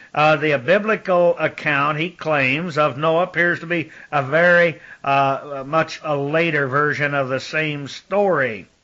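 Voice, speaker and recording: Speaking at a fairly slow pace, a man with a fairly high voice keeps his intonation fairly even. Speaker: religious lecturer on ancient mysteries. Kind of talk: recorded monologue lecture. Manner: halting with fillers.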